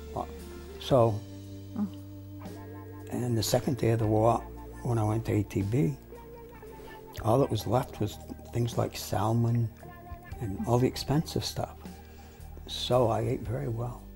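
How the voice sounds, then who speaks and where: Music plays behind a man speaking at a fairly slow pace in a medium pitch with ordinary pitch variation. He takes long, frequent pauses. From New York. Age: 70s. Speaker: lawyer and law lecturer. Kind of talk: interview answer.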